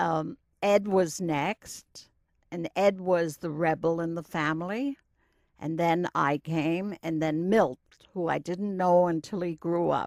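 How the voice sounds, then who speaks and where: Speaking at a very slow pace in a New York accent, a woman is heard on a very clean recording with a silent background and a dry, close sound with no echo. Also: fairly low pitch for a woman, ordinary pitch variation. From Brooklyn, New York. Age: 80s+. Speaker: retired teacher. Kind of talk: oral history interview. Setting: recording booth.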